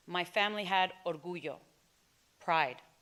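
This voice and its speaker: A woman speaks in a Spanish accent at a medium pitch. Her tone is bright and sharp. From Texas and Mexico (Morelia area). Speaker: storyteller. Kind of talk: personal storytelling performance.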